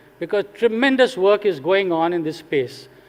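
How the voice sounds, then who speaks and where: A man with an Indian accent, high-pitched, at a moderate pace and with ordinary pitch variation. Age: 70s. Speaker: retired executive turned social sector leader. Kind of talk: conference talk.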